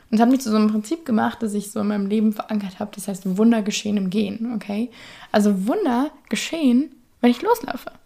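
A woman talks at a very fast pace with a fairly high pitch and ordinary pitch variation. Her tone is dark, mellow and somewhat breathy. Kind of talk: casual monologue. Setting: home bedroom. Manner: chatty, many fillers.

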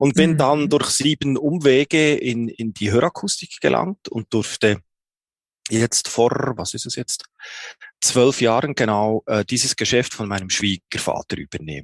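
Lively intonation and vocal fry mark this fairly slow voice, recorded with a dry, close sound with no echo. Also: man, medium pitch for a man. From Switzerland, Bern. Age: 40s. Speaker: hearing aid acoustician, business owner. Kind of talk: interview. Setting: video call. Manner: halting, many fillers.

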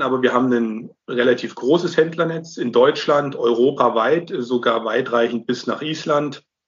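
This is a man speaking. His pitch is medium. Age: 20s. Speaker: incoming managing director of a camper cabin maker. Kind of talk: interview. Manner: hesitant, many filler sounds.

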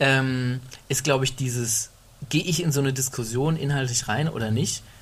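A man talks at a fairly quick pace in a medium-pitched voice. His delivery is somewhat breathy. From Middle Franconia, Germany. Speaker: podcast co-host. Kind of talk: casual chat.

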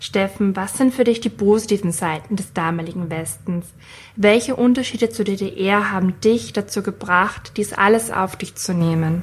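A woman speaks at a moderate pace. Her voice is somewhat breathy. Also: medium pitch for a woman, ordinary pitch variation. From Austria. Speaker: podcast host. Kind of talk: interview questions and scripted narration.

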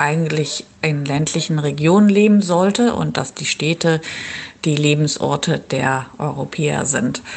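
A woman with a very deep, low pitch speaks at a very slow pace with ordinary pitch variation over noticeable background noise. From northern Germany (Schleswig-Holstein). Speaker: urban planner. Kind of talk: interview. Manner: hesitant with frequent fillers.

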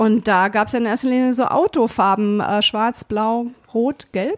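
Dry, close sound with no echo carries a woman's voice. Her pitch is fairly high, with ordinary variation. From Germany, Berlin. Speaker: hip-hop pioneer and former DJ. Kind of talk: interview. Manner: hesitant, many fillers.

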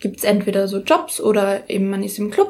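Moderately paced speech from a woman, somewhat breathy. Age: young. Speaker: rapper and pole dancer. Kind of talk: interview. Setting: in her flat, home studio.

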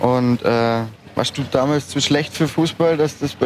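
This man's voice sits at a fairly high pitch and moves at a moderate pace. Noticeable background noise runs underneath. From Upper Bavaria. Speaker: podcast host. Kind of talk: casual interview. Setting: outdoors at a market.

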